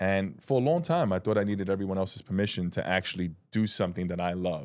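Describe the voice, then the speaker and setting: A man with a New York accent talks at a very fast pace in a very deep, low voice with ordinary pitch variation. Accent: New York (Bronx). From New York, the Bronx. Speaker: independent filmmaker, former correction officer. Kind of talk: podcast interview.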